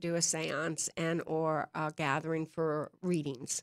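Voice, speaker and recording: In a very clean recording with a silent background and a dry, close sound with no echo, a woman with a Southern accent speaks at a fairly slow pace with a fairly low pitch and fairly even intonation. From North Carolina. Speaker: psychic medium. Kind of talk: interview. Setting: live stream show.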